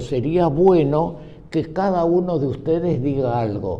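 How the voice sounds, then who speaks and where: Over noticeable background noise and audible room echo, a man with a fairly high pitch talks at a fairly slow pace with lively intonation. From Argentina, Buenos Aires (San Telmo), born in Cuba. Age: 90s. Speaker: group member, nonagenarian. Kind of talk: casual group conversation, storytelling.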